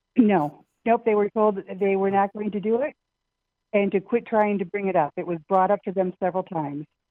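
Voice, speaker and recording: A woman speaks at a fairly quick pace and medium pitch, with ordinary pitch variation. It is an unremarkable speaking voice. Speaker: caller. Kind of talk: call-in chat. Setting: phone call.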